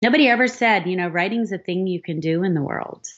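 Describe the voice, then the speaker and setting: A woman speaks at a moderate pace with lively intonation and a medium pitch. She has an unremarkable speaking voice. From Philadelphia, US. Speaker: novelist. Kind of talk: podcast interview.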